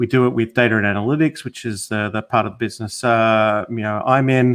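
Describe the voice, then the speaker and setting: A man speaks with a slight Australian accent. His intonation is fairly even, and the background is quiet. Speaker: technology consultant. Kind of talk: interview. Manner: halting, many fillers.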